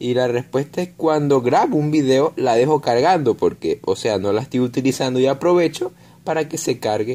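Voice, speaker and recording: A man's fairly high voice, dark and mellow in tone, at a moderate pace. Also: ordinary pitch variation. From Venezuela. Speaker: gaming YouTuber. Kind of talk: casual vlog talk to camera. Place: home room. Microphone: phone near.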